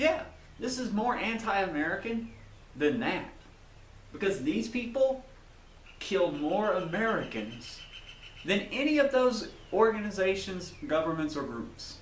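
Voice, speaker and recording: In a Southern US accent, a man with a high pitch talks at a fairly slow pace, taking long, frequent pauses and making very wide pitch swings, with audible room echo. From US South. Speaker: YouTuber. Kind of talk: video monologue.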